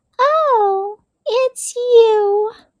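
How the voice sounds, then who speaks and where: Doing a put-on character voice, a woman squeaks out her lines at an extremely high pitch. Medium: read story. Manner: quiet, sighing.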